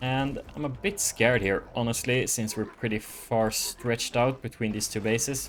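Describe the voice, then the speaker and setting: An ordinary speaking voice from a man, medium in pitch, with ordinary pitch variation, a moderate pace and hardly any pauses. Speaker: gaming YouTuber. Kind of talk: live gameplay commentary. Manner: casual with fillers.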